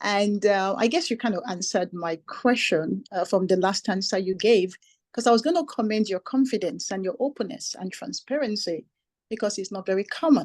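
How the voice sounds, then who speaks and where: Speaking with lively intonation and a non-native accent, a woman keeps her voice at a fairly high pitch. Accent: foreign. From immigrant, foreign-born. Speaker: audience member, businesswoman. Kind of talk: audience question.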